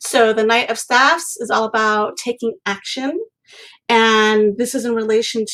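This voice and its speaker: With a fairly high pitch, a woman talks at a fairly slow pace. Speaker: creativity coach and tarot reader. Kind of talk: live painting tutorial with tarot reading. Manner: hesitant, many ums.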